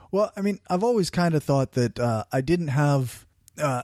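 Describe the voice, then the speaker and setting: Over a silent background in a very clean recording, a man with a strong Canadian accent speaks at a moderate pace, fairly high in pitch, with a dark, mellow tone and a dry, close sound with no echo. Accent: thick rural Canadian. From rural Canada. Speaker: podcaster. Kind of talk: interview conversation.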